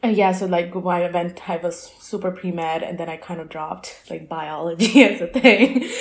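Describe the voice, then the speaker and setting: Against noticeable background noise, a woman with a fairly low pitch and ordinary pitch variation speaks at a moderate pace, her loudness swinging widely. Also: hardly any pauses. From Lahore, Pakistan. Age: 20s. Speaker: poet and artist. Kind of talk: casual interview. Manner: halting, filler-heavy.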